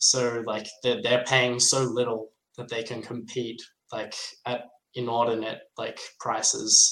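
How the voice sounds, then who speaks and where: A man with an Australian accent talks at a fairly slow pace, with big swings in loudness. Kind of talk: casual interview chat. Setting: video call.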